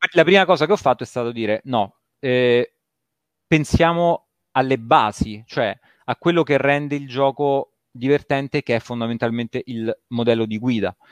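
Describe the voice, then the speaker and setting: Over a quiet background, a man with a medium pitch speaks at a moderate pace with ordinary pitch variation and long, frequent pauses, the sound dry and close with no echo. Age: 40s. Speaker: video game developer. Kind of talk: casual interview chat.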